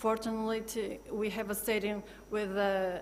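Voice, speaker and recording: Speaking at a fairly slow pace, a woman with a non-native accent uses a medium pitch. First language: not English. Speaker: football club sustainability manager. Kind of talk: panel discussion. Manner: halting, many fillers and restarts.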